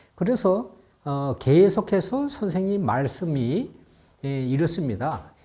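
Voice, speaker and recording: The recording is very clean with a silent background, and the speech moves at a very slow pace. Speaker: math teacher. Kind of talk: lecture. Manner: many fillers.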